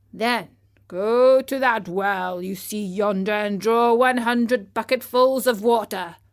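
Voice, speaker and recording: A woman uses a put-on character voice, fairly high in pitch, with fairly even intonation and a fairly slow pace. The recording is very clean, with a silent background. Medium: read story. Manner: blunt, transactional.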